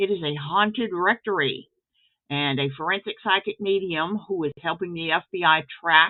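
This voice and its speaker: A woman with an American accent and a normal speaking voice talks at a fairly slow pace. Her intonation is lively. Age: 60s. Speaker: author and writing teacher. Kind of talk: casual video intro talk.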